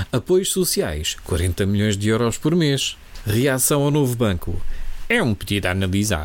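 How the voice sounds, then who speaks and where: A man talks at a fairly slow pace. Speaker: satirical podcast host. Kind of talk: comedic scripted commentary.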